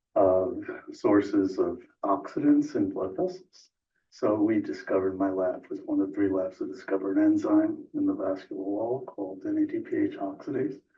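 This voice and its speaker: In an American accent, a soft-spoken man talks at a moderate pace, with audible echo from the room. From New York. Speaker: scientist and board applicant. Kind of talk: interview. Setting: council meeting room.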